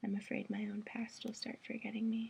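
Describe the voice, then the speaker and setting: Soft-spoken whispering at a moderate pace. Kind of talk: poetry reading.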